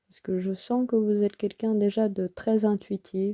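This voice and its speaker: Soft-spoken and very slow, a woman talks in a dark, mellow tone, with a dry, close sound with no echo and a very clean recording over a silent background. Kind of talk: tarot reading. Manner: hesitant with fillers. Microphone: close to the microphone.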